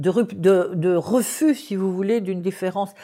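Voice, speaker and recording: A woman's dark, mellow tone at a medium pitch, on a very clean recording with a silent background. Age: 70s. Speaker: anthropologist. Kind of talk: interview. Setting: at her home in Paris. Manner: halting with many fillers.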